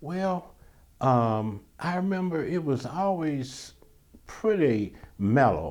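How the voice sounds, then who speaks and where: The pace is very slow. Pitch swings very widely. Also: man. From US South, Birmingham, Alabama. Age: 70s. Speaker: retired newspaper copy editor. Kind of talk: oral history interview. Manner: halting, many restarts and fillers.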